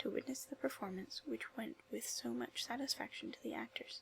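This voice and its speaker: Soft-spoken and soothing, the voice has a calm tone and a fairly quick pace. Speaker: ASMR video creator and literature student. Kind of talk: soft whispered audiobook-style reading for ASMR and relaxation. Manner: soft-spoken, soothing, calm.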